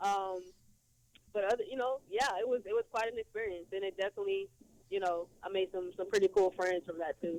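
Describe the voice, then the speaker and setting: A woman talks at a fairly quick pace and a medium pitch with fairly even intonation. The sound is dry and close, with no echo. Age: 20s. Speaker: athlete and fitness entrepreneur. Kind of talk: interview. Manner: halting with many fillers.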